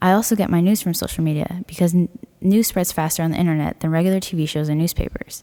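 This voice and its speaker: Talking at a very fast pace, a woman with a Californian accent has a fairly low, dark and mellow voice. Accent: Californian American English. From US West, Pleasanton, California. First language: Spanish. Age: 20s. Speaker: college student. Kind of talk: personal essay reading.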